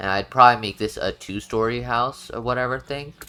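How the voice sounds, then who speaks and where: Music is heard in the background. A man talks fairly quickly, his pitch varying in an ordinary way. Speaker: gaming video creator. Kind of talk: tutorial. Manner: casual, with fillers and self-corrections.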